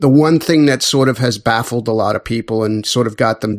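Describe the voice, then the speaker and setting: Against noticeable background noise, a man speaks at medium pitch with a dry, close sound and no echo. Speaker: podcast co-host. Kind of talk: casual chat.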